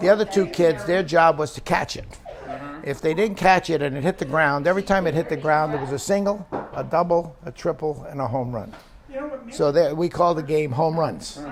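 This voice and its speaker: Speaking fairly quickly in a New York accent, a man with a fairly high pitch and ordinary pitch variation is heard over noticeable background noise. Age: old. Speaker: retired aerospace worker. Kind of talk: oral history interview. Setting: recorded interview.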